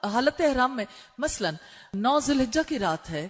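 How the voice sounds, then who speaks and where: This woman talks at a high pitch with lively intonation. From Pakistan. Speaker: Islamic scholar and preacher. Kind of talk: religious lecture on Hajj rules for women.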